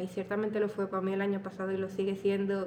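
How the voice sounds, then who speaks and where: A woman's voice at a fairly quick pace, with audible room echo and noticeable background noise. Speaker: podcaster. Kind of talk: personal storytelling monologue. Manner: casual.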